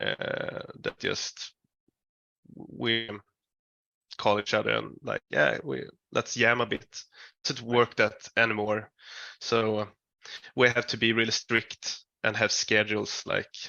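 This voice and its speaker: A man talks at a very slow pace. Long pauses come often. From Sweden. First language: Swedish. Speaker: metal band musician. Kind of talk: interview. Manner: halting.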